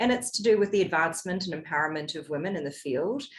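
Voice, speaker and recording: This is a woman's voice. She speaks with a New Zealand accent. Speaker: compliance executive and podcaster. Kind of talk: podcast interview.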